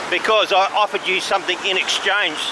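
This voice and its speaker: Loud background noise runs throughout. Over it, a man speaks at a very fast pace. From Australia. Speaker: travel vlogger. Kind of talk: casual vlog narration while walking. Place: street. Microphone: phone near.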